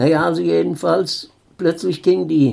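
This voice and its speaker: Speaking at a very slow pace, a man uses a fairly high pitch with very wide pitch swings and a dark, mellow tone. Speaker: eyewitness. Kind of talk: interview. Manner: halting.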